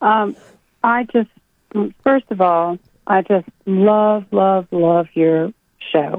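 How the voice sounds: The pace is slow, with ordinary pitch variation. The sound is dry and close, with no echo. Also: woman, medium pitch for a woman.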